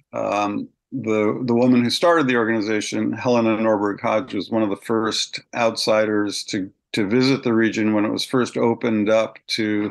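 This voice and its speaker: A man speaks at a moderate pace against a quiet background. His pitch sits in the middle range, and his intonation stays fairly even. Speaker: localization advocate and author. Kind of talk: interview. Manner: halting.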